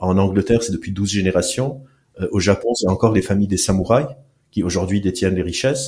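This man talks at a fairly quick pace in a dark, mellow, somewhat breathy tone with ordinary pitch variation. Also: fairly low pitch for a man. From Lebanon. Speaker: neuroscientist and clinical psychologist. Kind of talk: casual interview.

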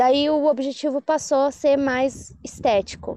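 With a dark, mellow tone, a woman speaks at a fairly slow pace in a dry, close sound with no echo. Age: 20s. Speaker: CrossFit athlete. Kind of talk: casual interview.

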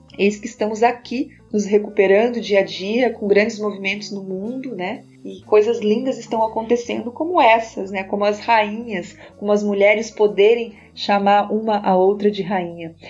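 Moderate pace, hardly any pauses and fairly even intonation, with big swings in loudness and music in the background. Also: woman, medium pitch for a woman. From Brazil, Curitiba. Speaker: podcast host and self-development coach. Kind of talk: reflective personal monologue.

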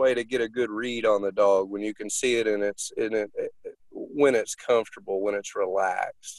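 Here a man speaks with a Southern US accent. His pace is moderate and his pitch variation ordinary. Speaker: dog trainer. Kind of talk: casual interview.

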